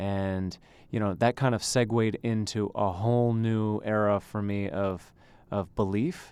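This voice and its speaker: This is an ordinary speaking voice, a man with a Canadian accent and a fairly low pitch. He speaks at a fairly slow pace with fairly even intonation. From Canada, Ontario (Thornhill). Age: 30s. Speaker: tennis coach. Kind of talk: interview.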